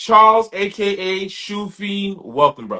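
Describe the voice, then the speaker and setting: In a New York accent, a man talks at a moderate pace with a high pitch. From Brooklyn, New York. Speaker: podcast host. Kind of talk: casual chat. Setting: livestream.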